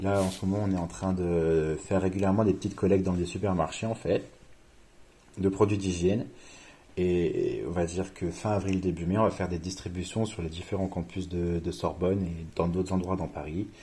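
A man's very deep, low, dark and mellow voice, somewhat breathy, in a flat monotone at a moderate pace. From France, Reims. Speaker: student. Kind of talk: casual interview.

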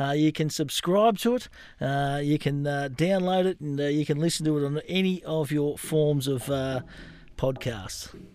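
The speaker has an Australian accent and a fairly slow pace. The recording is very clean, with a silent background. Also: man. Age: 40s. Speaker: podcast host. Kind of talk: casual interview.

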